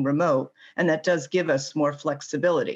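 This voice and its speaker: A woman with a very deep, low voice talks at a moderate pace over a quiet background. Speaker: mechanical engineer. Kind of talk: interview.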